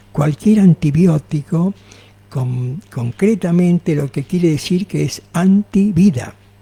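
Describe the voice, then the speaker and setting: At a very slow pace with ordinary pitch variation, the voice sounds dry and close with no echo, though noticeable background noise is present. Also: man. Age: 80s+. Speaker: naturopath. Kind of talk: radio interview.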